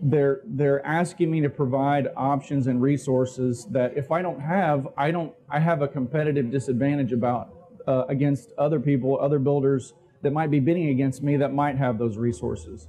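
A man talks at a moderate pace with very even loudness. His pitch varies an ordinary amount over light background noise. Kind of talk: conference talk. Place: hall. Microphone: lapel.

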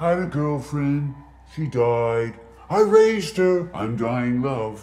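A man puts on a character voice at a fairly high pitch. He delivers it at a fairly slow pace. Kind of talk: dating video sketch.

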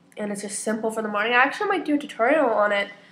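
A woman talks at a very fast pace in a fairly high voice, with noticeable background noise. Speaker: beauty vlogger. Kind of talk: casual talk to camera.

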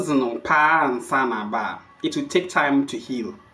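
A man's fairly bright tone with ordinary pitch variation and audible room echo.

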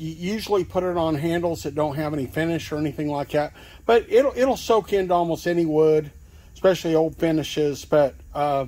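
Speaking at a fairly quick pace, a man has a fairly high pitch, a dark, mellow tone, and ordinary pitch variation.

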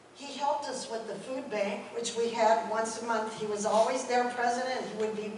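A woman at a fairly quick pace, with audible room echo and light background noise. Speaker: speaker. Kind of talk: memorial tribute speech. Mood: warm, fond, light laughs. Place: church. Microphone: camera far.

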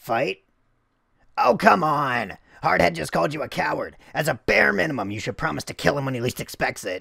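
A man uses a raspy, put-on character voice at a medium pitch and a fairly quick pace. The recording is very clean, with a silent background. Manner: sarcastic, manic.

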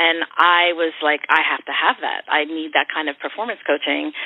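A woman with an American accent speaks in a fairly low pitch at a moderate pace. It is an ordinary speaking voice. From Philadelphia, Kensington. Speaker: singer-songwriter. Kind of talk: interview.

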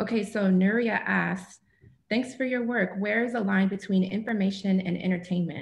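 Somewhat breathy, a woman speaks at medium pitch and a moderate pace. Her intonation is fairly even and her loudness very even. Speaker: event moderator. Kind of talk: formal introduction and Q&A moderation. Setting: video call. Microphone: webcam.

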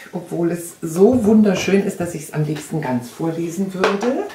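Over noticeable background noise, a woman speaks at a fairly slow pace. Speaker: book reviewer for a reading association. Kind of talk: book recommendation with read-aloud. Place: home room. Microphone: camera far.

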